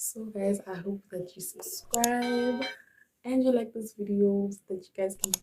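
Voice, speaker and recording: Her tone is dark and mellow, and this woman sounds somewhat breathy. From South Africa. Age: 20s. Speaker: YouTuber, college student. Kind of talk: vlog introduction.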